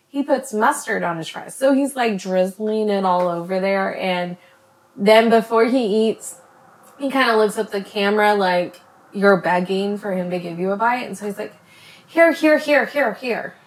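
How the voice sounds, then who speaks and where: A woman's fairly high voice at a moderate pace, ordinary pitch variation, noticeable background noise behind her. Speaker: YouTuber / vlogger. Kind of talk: casual chat. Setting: at home.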